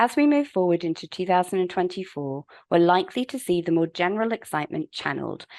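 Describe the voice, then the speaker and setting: A woman with a British accent speaks at a fairly low pitch with lively intonation, the sound dry and close with no echo against a quiet background. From UK. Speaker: webinar host, legal publishing manager. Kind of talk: webinar presentation. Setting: online webinar. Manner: formal.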